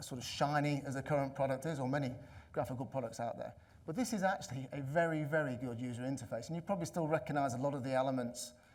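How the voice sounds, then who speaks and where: Very fast speech from a fairly high-pitched man with an English accent, ordinary pitch variation, and audible room echo. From England. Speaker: conference speaker, analytics consultant. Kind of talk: conference talk. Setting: stage with audience.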